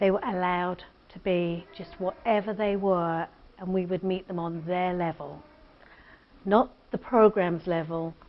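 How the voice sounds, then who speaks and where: Spoken with a British accent, the delivery comes at a fairly slow pace with fairly even intonation. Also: woman. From Britain. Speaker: addiction treatment center founder. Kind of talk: interview.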